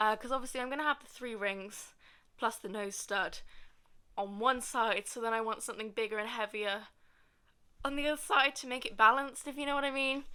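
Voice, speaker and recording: Speaking fast-ish with a British accent, a woman has a fairly high pitch, a bright, sharp tone and ordinary pitch variation. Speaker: vlogger. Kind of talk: casual vlog talk to camera. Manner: hesitant, many fillers.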